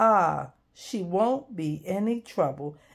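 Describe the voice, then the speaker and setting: A woman puts on a character voice at medium pitch and speaks at a very slow pace. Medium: read story.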